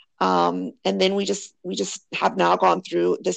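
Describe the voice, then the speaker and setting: The background stays quiet. A woman speaks at a moderate pace. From Miami, South Florida. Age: 40s. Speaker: skincare business owner. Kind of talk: interview conversation.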